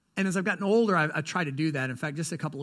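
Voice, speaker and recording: A man's fairly high-pitched voice on a very clean recording with a silent background. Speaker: pastor. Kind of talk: sermon. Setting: church. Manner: fast talker.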